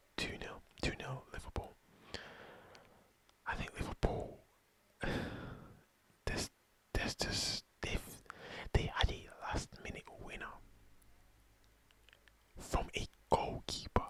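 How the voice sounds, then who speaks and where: Whispering at a very slow pace, a man leaves long, frequent pauses while his loudness swings widely. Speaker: football commentator / ASMR content creator. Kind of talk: football match preview, ASMR style. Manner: whispered, soft-spoken.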